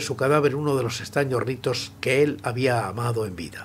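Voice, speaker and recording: A man speaks in a somewhat breathy voice over light background noise. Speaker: audiobook narrator. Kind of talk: dramatic story reading. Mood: grave, suspenseful.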